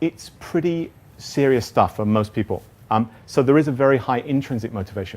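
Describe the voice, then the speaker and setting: A man speaks with ordinary pitch variation. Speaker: teacher trainer, conference speaker. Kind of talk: conference workshop talk. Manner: casual, self-deprecating with fillers.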